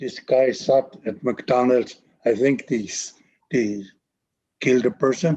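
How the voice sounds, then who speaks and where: He is a man with a dark, mellow tone and a medium pitch with ordinary pitch variation. His speech moves at a fairly slow pace with long, frequent pauses. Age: 70s. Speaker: First Nations elder and healer. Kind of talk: interview.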